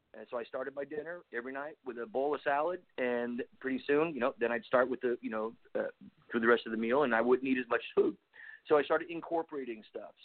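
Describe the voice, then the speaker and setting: Talking at a very fast pace, a man with a medium-pitched voice shows ordinary pitch variation. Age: 50s. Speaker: army veteran. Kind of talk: casual interview chat.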